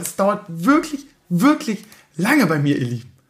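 Pitched high, a man's voice moves through very wide pitch swings. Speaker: podcast host and streamer. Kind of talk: casual solo talk. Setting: home recording at night.

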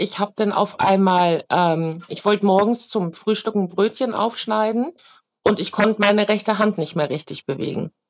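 Here is an unremarkable speaking voice from a woman at medium pitch. She keeps a moderate pace with ordinary pitch variation. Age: 30s. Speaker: market vendor with vaccine injury. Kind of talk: interview testimony. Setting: remote video call.

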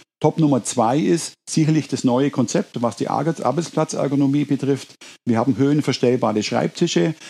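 Vocal fry runs through a man's fairly high-pitched voice. His loudness stays very even. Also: ordinary pitch variation, moderate pace. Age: 50s. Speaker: business owner. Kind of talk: interview.

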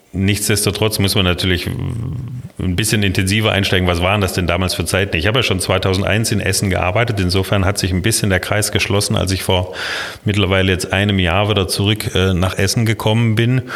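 A man speaks at a fairly quick pace with a fairly low pitch and very even loudness. Noticeable background noise runs underneath. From Baden-Württemberg, Kinzigtal (Baden). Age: 50s. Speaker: city planning official. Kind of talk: interview.

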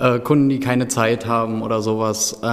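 A man with a medium pitch talks, and noticeable background noise is present throughout. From eastern Germany, Brandenburg. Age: 20s. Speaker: pharmacy technician trainee. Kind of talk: interview.

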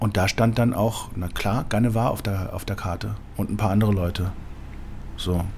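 Amid audible room echo, a man with a fairly low pitch talks at a moderate pace with ordinary pitch variation. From Germany, Berlin. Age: 40s. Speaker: sommelier. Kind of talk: interview. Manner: hesitant, many fillers.

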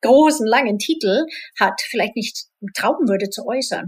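This woman has a Swedish accent and a fairly high pitch. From Sweden, partly Spain. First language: Swedish (speaking German). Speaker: IT executive and rock singer. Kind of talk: interview.

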